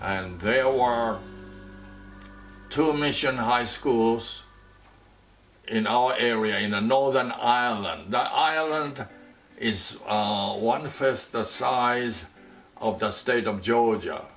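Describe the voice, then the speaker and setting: A man speaks at a very slow pace with long, frequent pauses, his medium pitch showing ordinary variation, amid audible room echo and noticeable background noise. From Taiwan. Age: 80s+. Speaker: retiree telling his life story. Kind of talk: life story talk. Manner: halting, many fillers.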